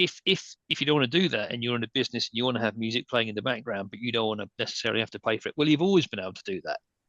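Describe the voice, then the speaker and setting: With an English accent, a man at medium pitch talks at a very fast pace with hardly any pauses, lively intonation, big swings in loudness and a bright, sharp tone, in a dry, close sound with no echo. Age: 60s. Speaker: entertainment lawyer. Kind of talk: panel discussion. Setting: video call. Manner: halting.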